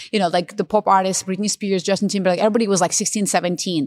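Recorded dry and close with no echo, a woman talks at a medium pitch. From Russia. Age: 30s. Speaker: opera singer and designer. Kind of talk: casual chat.

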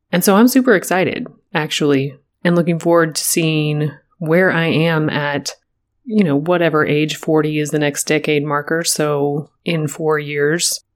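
A woman speaks at a moderate pace with a fairly low pitch and a plain, everyday voice. The recording is very clean, with a silent background. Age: 30s. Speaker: podcast host. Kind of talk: solo reflective monologue.

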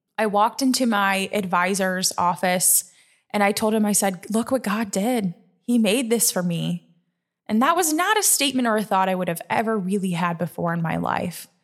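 With an American accent and a plain, everyday voice, a woman speaks at a moderate pace and medium pitch, with ordinary pitch variation and very even loudness, on a very clean recording with a silent background. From Nebraska. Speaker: podcast host. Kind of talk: personal testimony.

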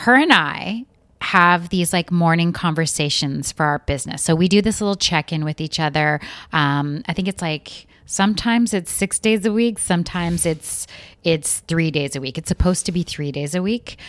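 A woman's normal speaking voice, fairly low in pitch with ordinary pitch variation and a moderate pace, dry and close with no echo in a very clean recording over a silent background. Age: 40s. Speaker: podcast co-host. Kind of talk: casual chat.

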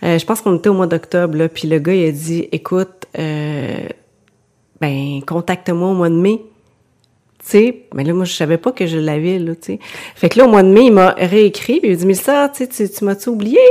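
A woman in a Quebec accent, medium in pitch with a dark, mellow tone, lively intonation and a moderate pace. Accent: Québécois French. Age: 40s. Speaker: author and porcelain painter. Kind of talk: casual interview.

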